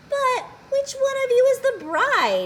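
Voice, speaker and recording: Squeaky and clearly put on, the character voice goes along somewhat slowly. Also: woman, extremely high pitch for a woman. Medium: read story. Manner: eager, chattering.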